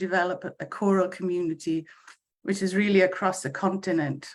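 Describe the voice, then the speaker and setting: With a Welsh accent, a woman talks at a moderate pace in a medium pitch, her intonation fairly even. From Wales. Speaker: choir conductor. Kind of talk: casual chat. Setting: video call. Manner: halting.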